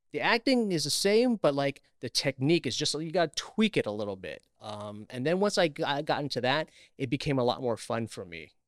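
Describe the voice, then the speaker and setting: A fairly high-pitched man with an American accent, very wide pitch swings, a fairly quick pace and hardly any pauses, in a very clean recording with a silent background and a dry, close sound with no echo. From Queens, New York. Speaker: actor. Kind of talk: casual chat.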